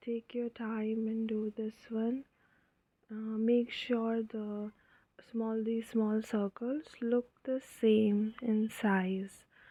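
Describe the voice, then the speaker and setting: The delivery is very slow, in an Indian accent. The intonation stays monotone and flat. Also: woman. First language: Hindi. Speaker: craft tutorial creator. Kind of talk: tutorial. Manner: casual, hesitant with fillers.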